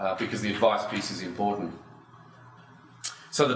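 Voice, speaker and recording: Audible room echo surrounds a man talking at a fairly quick pace with an Australian accent. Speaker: industry association chief executive. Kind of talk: conference talk. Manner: hesitant, many fillers.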